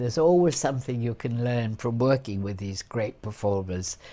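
At a moderate pace, a woman speaks with a very deep, low pitch and a dark, mellow tone. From London. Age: 80s+. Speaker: actress. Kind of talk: interview answer. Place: home room. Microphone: lapel.

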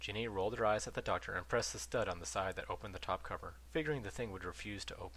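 Lively intonation marks the delivery. It is a natural reading voice.

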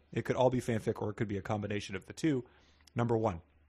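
At a very fast pace, a man speaks in a somewhat breathy voice. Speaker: comedy podcast co-host. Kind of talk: comedic casual chat. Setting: at home, remote recording.

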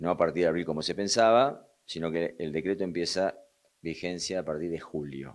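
The speaker is a man with a very deep, low voice. His pitch varies in an ordinary way. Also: moderate pace. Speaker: union representative. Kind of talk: interview.

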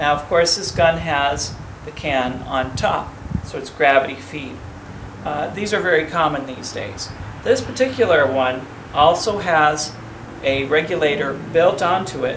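Against noticeable background noise, a man speaks at a fairly slow pace with big swings in loudness. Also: ordinary pitch variation. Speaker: home workshop host. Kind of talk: tutorial. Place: garage. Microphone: camera far.

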